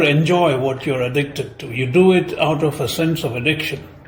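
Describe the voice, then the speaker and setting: A man speaks with a Gujarati accent. The room echo is audible. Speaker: film commentator. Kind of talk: spoken film essay.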